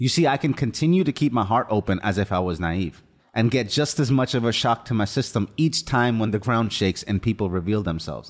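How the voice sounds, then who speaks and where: On a very clean recording with a silent background, a man with an unremarkable speaking voice talks at medium pitch with lively intonation and very even loudness. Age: 30s. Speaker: podcast host. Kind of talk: solo motivational monologue. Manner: earnest, reflective.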